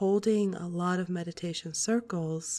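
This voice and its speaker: A woman with a fairly low pitch speaks at a very slow pace in a calm, dark, mellow tone with monotone, flat intonation. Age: 40s. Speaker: podcast host. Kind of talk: scripted-style podcast monologue. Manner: soft, calm, less pitch fluctuation.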